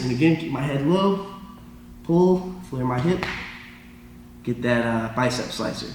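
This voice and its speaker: The speaker has an American accent and keeps a moderate pace with ordinary pitch variation. Audible echo from the room surrounds the voice. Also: man. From Florida. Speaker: jiu jitsu instructor and competitor. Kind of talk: tutorial. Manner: halting.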